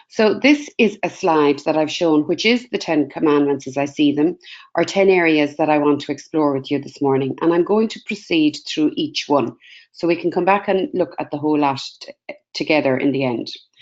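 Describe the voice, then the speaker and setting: A woman with an Irish accent speaks at a very deep, low pitch. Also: ordinary pitch variation. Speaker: career guidance researcher. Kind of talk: webinar presentation. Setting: webinar video call. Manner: fast.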